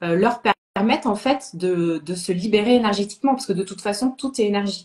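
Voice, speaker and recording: Somewhat breathy, a woman speaks at a fairly quick pace. Her medium pitch shows ordinary variation. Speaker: sophrologist and medium. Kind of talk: interview chat. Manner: halting.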